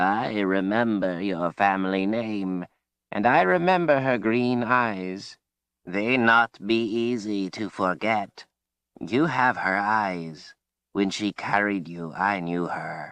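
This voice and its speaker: Raspy put-on character voice at a fairly slow pace. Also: man, fairly low pitch for a man. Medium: read story. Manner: archaic folksy grammar, cryptic.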